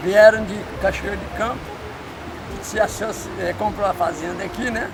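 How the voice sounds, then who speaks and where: Amid noticeable background noise and audible room echo, a man speaks at a high pitch in a monotone, flat delivery. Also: moderate pace, big swings in loudness. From Brazil, Belo Horizonte (Minas Gerais). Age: 80s+. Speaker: neighborhood elder interviewee. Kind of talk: street interview. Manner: halting.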